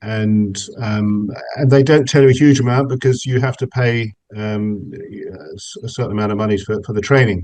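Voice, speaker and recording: With an English accent, a man speaks at a medium pitch with ordinary pitch variation. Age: 60s. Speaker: meditation practitioner, businessman. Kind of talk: interview. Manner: hesitant, many fillers and repetitions.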